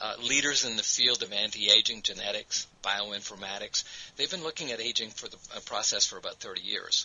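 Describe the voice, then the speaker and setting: Noticeable background noise runs beneath a man who speaks fairly quickly. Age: 60s. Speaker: network marketing presenter. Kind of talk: sales pitch. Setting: webinar.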